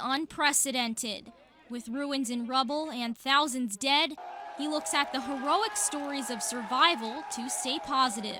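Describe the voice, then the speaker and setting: Raising and projecting her high-pitched voice, a woman speaks at a fairly slow pace with lively intonation over noticeable background noise. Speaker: TV news reporter. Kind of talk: TV news report.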